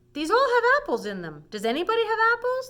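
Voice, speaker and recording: A woman's put-on character voice, squeaky and extremely high-pitched, cheerful and confident in tone, at a very fast pace. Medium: read story. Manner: cheerful, confident.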